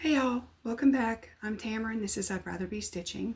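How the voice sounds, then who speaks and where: Somewhat breathy delivery at a fairly quick pace with lively intonation. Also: woman. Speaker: flosstube vlogger. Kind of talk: casual vlog chat. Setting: at home, back door open. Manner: hesitant, many fillers.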